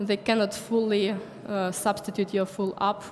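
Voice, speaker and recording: Noticeable background noise sits behind a woman speaking at a moderate pace. Her intonation is monotone and flat. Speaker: conference speaker. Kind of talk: lecture.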